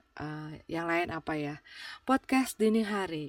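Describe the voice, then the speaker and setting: In a very clean recording with a silent background, a woman speaks at a fairly slow pace in a relaxed tone. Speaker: podcast host. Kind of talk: casual chat. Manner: halting, many fillers; relaxed, informal.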